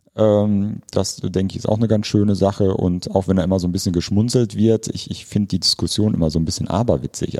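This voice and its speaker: A man speaks with a dark, mellow tone. His pitch is fairly low. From Ruhr area, Germany. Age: 50s. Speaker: park director, landscape architect. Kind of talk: interview.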